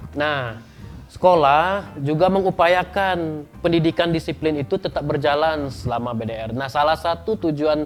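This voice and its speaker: A man with a Sumatran accent and a fairly high pitch, at a moderate pace with ordinary pitch variation and music in the background. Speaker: school guidance counselor. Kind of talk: educational talk. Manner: hesitant, many fillers.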